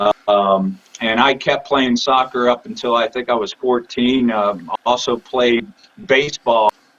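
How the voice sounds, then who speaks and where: At a fairly slow pace, a man speaks with medium pitch and ordinary variation while noticeable background noise continues. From Alabama. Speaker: masters boxer. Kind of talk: interview. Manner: halting. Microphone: connection freezing.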